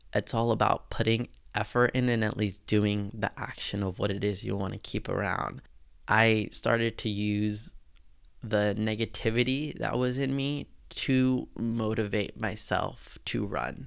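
A man with an ordinary speaking voice talks at a fairly slow pace, his pitch fairly low and intonation fairly even, on a very clean recording with a silent background. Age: 20s. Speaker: podcast host. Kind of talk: solo podcast monologue.

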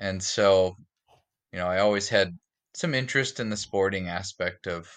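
A man with an Upper Midwest accent speaks in a very deep, low pitch. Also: quiet background. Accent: Upper Midwest American. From North Dakota, Fargo. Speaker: educator and outdoorsman. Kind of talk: casual interview.

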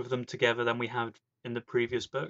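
A man's medium-pitched voice with a British accent. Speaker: podcast host. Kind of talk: casual chat.

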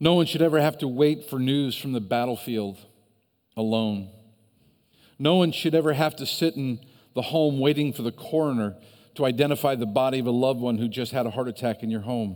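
On a very clean recording with a silent background, a man with an American accent speaks at medium pitch. His pace is fairly quick, with ordinary pitch variation. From US Midwest, Northeast Ohio. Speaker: pastor. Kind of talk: sermon.

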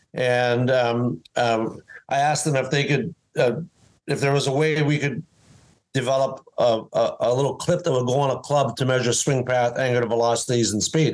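A man talks at a medium pitch in an ordinary speaking voice. His intonation is fairly even and his loudness very even. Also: moderate pace. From Canadian Prairies, Winnipeg. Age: 60s. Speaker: former pro golfer and inventor. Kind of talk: interview. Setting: video call.

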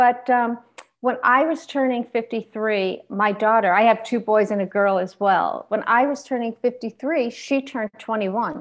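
A woman's fairly high voice, an unremarkable speaking voice, with ordinary pitch variation at a moderate pace. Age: 50s. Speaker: motivational speaker and author. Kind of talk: casual interview.

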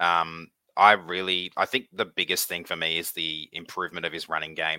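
A man with an Australian accent and a very deep, low pitch speaks at a moderate pace in a bright, sharp tone, the sound dry and close with no echo. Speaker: podcast co-host. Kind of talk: casual chat.

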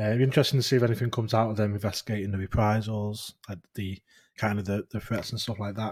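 With a northern English accent, a man speaks very fast in a somewhat breathy, fairly low voice with monotone, flat intonation, on a very clean recording with a silent background. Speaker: podcast host, sighting report collector. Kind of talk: casual chat.

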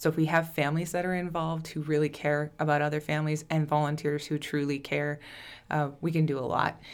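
In an Upper Midwest accent, a woman speaks in a very deep, low voice. Her intonation is monotone and flat, at a moderate pace. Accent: Upper Midwest (Minnesota). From southern Minnesota. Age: 20s. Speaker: nonprofit founder, childhood cancer survivor. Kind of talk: casual interview.

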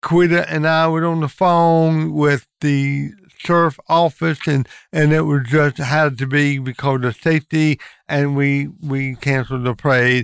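A man with a North Carolina accent talks at a fairly slow pace and a fairly high pitch, with fairly even intonation and very even loudness. The sound is dry and close with no echo, on a very clean recording with a silent background. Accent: Southern US (North Carolina). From US South, North Carolina (Lincoln County). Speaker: insurance agent, parade committee member. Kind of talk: casual interview.

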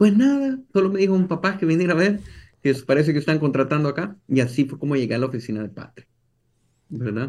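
Over a quiet background, a man with a fairly high pitch talks at a very fast pace with lively intonation. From El Salvador. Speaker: entrepreneur. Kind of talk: interview.

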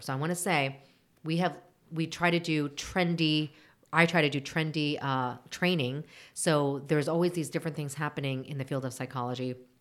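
With an American accent, a woman speaks at a moderate pace in a very deep, low pitch and fairly even intonation, on a very clean recording with a silent background. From United States, raised from infancy after birth in Seoul. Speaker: marriage and family therapist. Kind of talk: interview.

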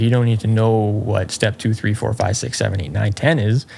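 Noticeable background noise behind a man at a moderate tempo. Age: 30s. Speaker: golf coach. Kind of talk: casual chat.

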